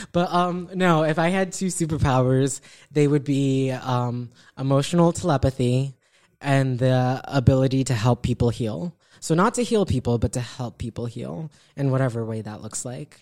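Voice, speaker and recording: Someone speaks at a moderate pace with an American accent. The recording is very clean, with a silent background. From Beacon, New York. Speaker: community activist guest. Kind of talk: casual interview chat.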